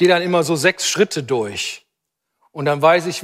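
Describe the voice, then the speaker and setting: A man with a fairly high pitch speaks fairly slowly in an animated tone. His pitch varies in an ordinary way. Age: 60s. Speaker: preacher. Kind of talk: sermon.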